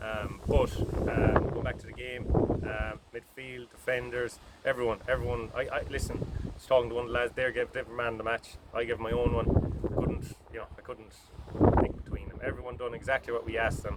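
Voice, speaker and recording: A man with an Irish accent, against noticeable background noise. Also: fairly quick pace. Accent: Irish (Mayo). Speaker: football manager. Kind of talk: post-match interview.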